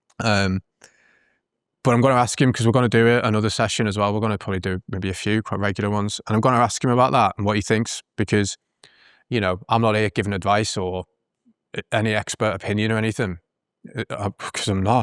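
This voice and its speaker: A man with a British accent talks at a very fast pace, broken by long, frequent pauses, in a fairly low pitch with fairly even intonation. The recording is very clean with a silent background, and the sound is dry and close with no echo. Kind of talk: casual reflective talk to camera. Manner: hesitant, conversational.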